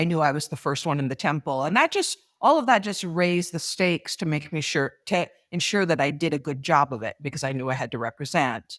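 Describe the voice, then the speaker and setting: A fairly quick pace on a very clean recording with a silent background and a dry, close sound with no echo. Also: woman, very deep, low pitch for a woman, ordinary pitch variation. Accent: American. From US Pacific Northwest. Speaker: author and speaker. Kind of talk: interview answer.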